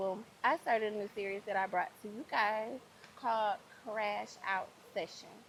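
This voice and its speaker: A soft-spoken woman talks in a fairly high pitch. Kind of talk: ASMR soft-voice talk to camera, casual chat.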